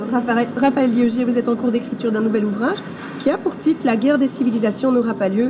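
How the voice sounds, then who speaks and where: A woman with a strong Belgian accent, high-pitched, very fast and fairly even in intonation, over noticeable background noise. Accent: thick Belgian French. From Belgium. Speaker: interviewer. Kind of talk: interview.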